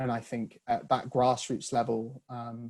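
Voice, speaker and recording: Monotone, flat intonation from a man with a northern English accent, medium pitch and fairly slow pace. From northern England. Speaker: author. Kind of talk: video call discussion. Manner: halting.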